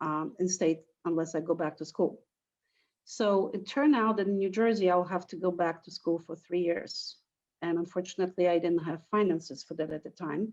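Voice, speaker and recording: The speaker talks at a moderate pace with a Polish accent. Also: woman, fairly low pitch for a woman, ordinary pitch variation, big swings in loudness. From Poland. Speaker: teacher. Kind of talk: interview.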